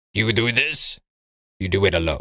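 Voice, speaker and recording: A man puts on a raspy character voice at a fairly low pitch. He holds a moderate pace. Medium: read story. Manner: brash, slangy.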